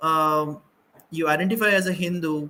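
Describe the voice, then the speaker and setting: A man with a Bengali accent speaks at a fairly slow pace in a fairly high pitch, his bright, sharp tone carried by monotone, flat intonation. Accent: Bengali Indian English. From India, Assam (Bengali). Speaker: panelist, doctor. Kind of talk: panel discussion. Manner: halting, many fillers.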